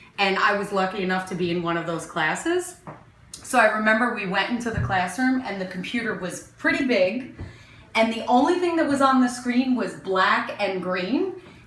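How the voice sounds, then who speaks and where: A woman speaks at a moderate pace in a fairly high pitch, her voice swinging very widely. There is noticeable background noise and audible room echo. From Newark, New Jersey, US. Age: 40s. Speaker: interviewee neighbor. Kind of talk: casual interview.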